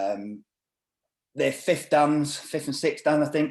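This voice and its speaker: A man with a northern English accent, fairly high in pitch, at a fairly slow pace. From northern England. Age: 50s. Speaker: martial arts instructor and doorman. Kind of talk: casual chat.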